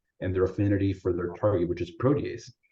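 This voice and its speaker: Very fast and somewhat breathy, a man speaks in a very deep, low voice. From US, Salvadoran immigrant family. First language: Spanish. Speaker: physician presenter. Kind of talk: webinar presentation. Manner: casual, many fillers like right and you know.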